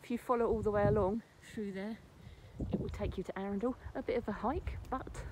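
A woman at a moderate pace, with noticeable background noise and a dry sound with no echo. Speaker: folklore vlogger. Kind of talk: casual vlog chat. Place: open country. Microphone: phone near.

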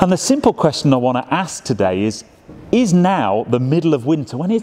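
With music in the background, a man speaks at a moderate pace. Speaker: presenter. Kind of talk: presenter commentary. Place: shop.

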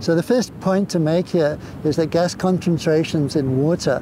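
A man at a moderate pace with ordinary pitch variation, dry sound with no echo, and noticeable background noise. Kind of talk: interview answer. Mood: warm, enthusiastic. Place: beach. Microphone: lapel.

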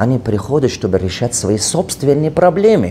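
A man with lively intonation at a moderate pace, light background noise behind him. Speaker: business coach; coach. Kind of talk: video address. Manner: non-fluent Russian, halting; animated, emphatic. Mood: defensive, passionate. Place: meeting room. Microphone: lapel.

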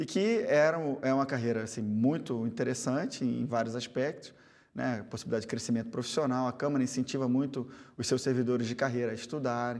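A man at a fairly quick pace with fairly even intonation, over a quiet background. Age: 40s. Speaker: politician. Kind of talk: TV interview. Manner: halting. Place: studio. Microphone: lapel.

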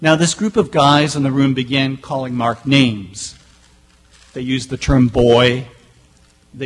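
Fairly even intonation from a man at a fairly slow pace. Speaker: college staff member and event committee member. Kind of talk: presentation. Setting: stage with audience. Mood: earnest, serious storytelling. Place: hall. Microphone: podium.

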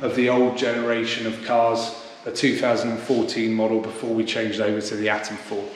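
A man speaks at a fairly quick pace, with light background noise and audible room echo. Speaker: company guide. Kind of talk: interview answer. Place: hall. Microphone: camera far.

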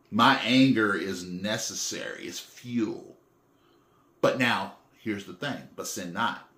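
Speaking at a very slow pace, a man with a medium pitch and a bright, sharp tone shows ordinary pitch variation and big swings in loudness amid audible room echo. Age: 40s. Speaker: faith vlogger. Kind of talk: personal monologue. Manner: halting, many fillers; repetitive stammering restarts. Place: home room. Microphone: phone near.

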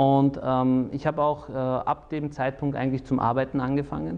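The man talks at a moderate pace. His intonation stays fairly even. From Austria, Salzburg; Austria. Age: 30s. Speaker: lawyer and politician; lawyer, politician. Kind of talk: personal interview monologue. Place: studio. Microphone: lapel.

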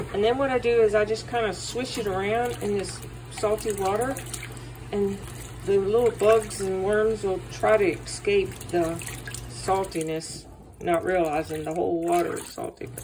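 Speech at a moderate pace with noticeable background noise. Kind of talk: tutorial. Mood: relaxed, friendly. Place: kitchen. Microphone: phone near.

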